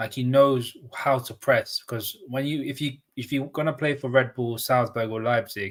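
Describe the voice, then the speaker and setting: A man talks with a London accent at a medium pitch. His pace is moderate and his pitch variation ordinary. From London, northwest. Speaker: football pundit. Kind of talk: casual chat.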